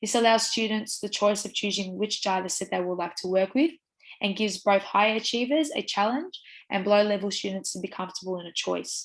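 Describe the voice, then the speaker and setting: A woman speaks in an Australian accent. Her pace is fairly quick. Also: medium pitch for a woman, ordinary pitch variation. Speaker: teacher education student. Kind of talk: university assignment presentation.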